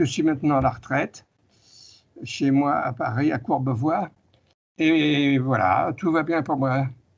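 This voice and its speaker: A man's fairly high-pitched speech at a very slow pace, with long, frequent pauses, very even loudness and ordinary pitch variation. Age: 80s+. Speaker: retired author and UFO researcher. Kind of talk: interview.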